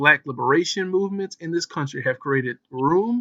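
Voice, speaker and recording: In a normal speaking voice with ordinary pitch variation, a man sounds dry and close with no echo. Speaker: podcast host. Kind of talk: reading aloud from a text during a discussion. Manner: fast, sometimes mumbling.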